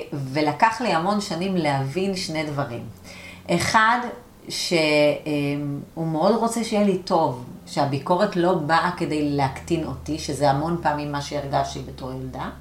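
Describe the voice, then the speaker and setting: Speaking at a fairly slow pace, a woman with a very deep, low pitch uses lively intonation amid noticeable background noise and audible room echo. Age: 40s. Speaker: coach and learning center owner. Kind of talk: interview conversation.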